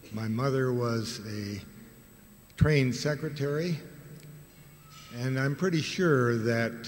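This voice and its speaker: A man with an Upper Midwest accent speaks at a very slow pace, his medium pitch showing ordinary variation, with audible room echo. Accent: Upper Midwest American. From South Dakota. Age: 70s. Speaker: alumnus and award recipient. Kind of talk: acceptance speech. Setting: commencement ceremony with audience.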